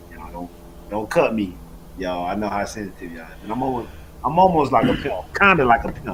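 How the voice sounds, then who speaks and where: A man with a fairly low pitch at a very fast pace, with very wide pitch swings, big swings in loudness, audible room echo and noticeable background noise. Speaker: trading educator. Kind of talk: live trading Q&A stream.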